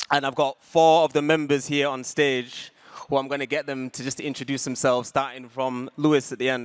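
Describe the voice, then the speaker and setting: Recorded with a dry, close sound and no echo, a man in a West Yorkshire accent talks fairly quickly at a fairly high pitch in a monotone, flat way. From northern England, Huddersfield. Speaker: community founder, panel moderator. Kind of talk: panel discussion on stage. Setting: stage with audience.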